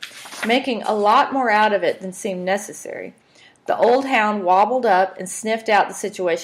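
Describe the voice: Ordinary pitch variation in plain reading aloud.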